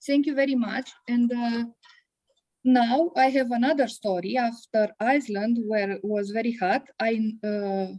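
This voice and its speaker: Speaking with a Romanian accent, a woman has a dark, mellow tone, ordinary pitch variation and a fairly slow pace. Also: fairly high pitch for a woman. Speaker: biology teacher. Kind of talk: conference talk. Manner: halting, many hesitations.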